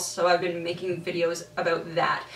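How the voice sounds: Room echo is audible around a woman's voice. She has a fairly low pitch and a fairly bright tone.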